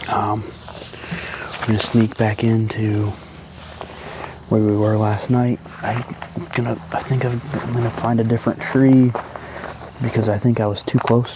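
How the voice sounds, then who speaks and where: Someone whispers at a moderate pace in an American accent. Noticeable background noise is present. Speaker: hunting vlogger. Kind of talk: outdoor vlog narration. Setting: outdoors in the woods. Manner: whispering.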